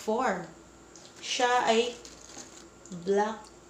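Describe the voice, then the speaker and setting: A woman's animated voice with audible room echo and light background noise. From Philippines. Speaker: vlogger. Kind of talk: casual vlog chat. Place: home room. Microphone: phone near.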